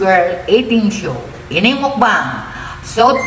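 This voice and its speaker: The speech comes at a very slow pace, with audible room echo and light background noise. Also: woman. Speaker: mukbang vlogger. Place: home room. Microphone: phone near.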